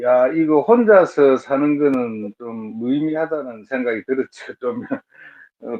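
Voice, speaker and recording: His pitch is fairly high and his intonation lively. The man speaks at a fairly slow pace. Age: 60s. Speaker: matchmaking show participant. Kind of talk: interview. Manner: halting.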